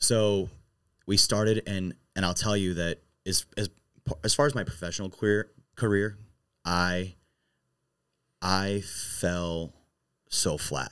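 A very slow, very deep and low male voice in an American accent, with fairly even intonation. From St. Louis area, Missouri. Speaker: bar owner. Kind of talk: interview conversation.

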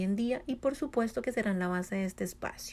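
A woman's voice, fairly high in pitch, has a dark, mellow tone and ordinary pitch variation. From Colombia. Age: 20s. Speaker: podcast host. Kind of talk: solo monologue, motivational talk.

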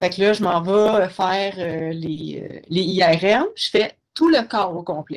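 At a very slow pace, a woman talks at medium pitch with ordinary pitch variation. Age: 30s. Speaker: guest with multiple sclerosis. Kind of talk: interview.

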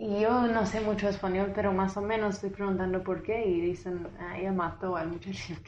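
Noticeable background noise sits behind a woman speaking at a medium pitch. Her intonation is monotone and flat, and she hardly pauses at all. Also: moderate pace. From US South, Tennessee. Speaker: lawyer and entrepreneur working in Guatemala. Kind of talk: casual interview, storytelling.

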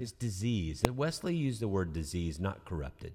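With an American accent, a man speaks at a moderate pace in a fairly low voice, his tone dark and mellow and his intonation lively. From US South, Georgia. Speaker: pastor and podcast host. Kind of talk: casual chat about scripture. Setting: studio.

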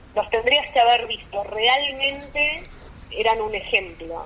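Against noticeable background noise, a woman with a fairly high pitch speaks at a fairly slow pace with fairly even intonation. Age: 50s. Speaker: politician. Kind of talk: phone interview.

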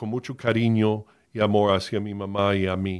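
A man's fairly low, monotone, flat voice at a very slow pace, on a very clean recording with a silent background. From US, Miami, Florida. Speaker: pastor and podcast host. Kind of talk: personal testimony. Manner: halting, many fillers.

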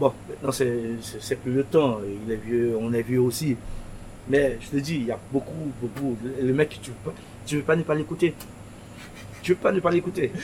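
Against noticeable background noise, a man with a medium-pitched voice speaks at a fairly slow pace, with ordinary pitch variation and long, frequent pauses. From Haiti, Pétionville. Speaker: shop owner. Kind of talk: interview. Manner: halting.

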